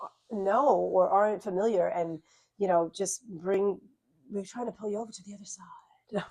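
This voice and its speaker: A woman of medium pitch speaks with a Long Island accent at a moderate pace, her intonation fairly even while her loudness swings widely. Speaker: YouTube channel host, wellness instructor. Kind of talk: casual interview chat. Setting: studio lounge.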